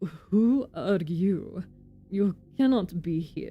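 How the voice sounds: A put-on character voice that sounds female, with a Russian accent as part of the act, speaks at a middle pitch and a very slow pace over faint music in the background.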